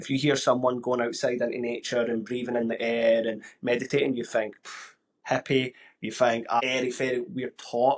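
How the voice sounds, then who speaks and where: With a Glaswegian accent, a man talks at a moderate pace in a monotone, flat delivery and a medium pitch. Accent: Glaswegian Scottish. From Scotland, Glasgow. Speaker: podcast host. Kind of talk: casual interview chat.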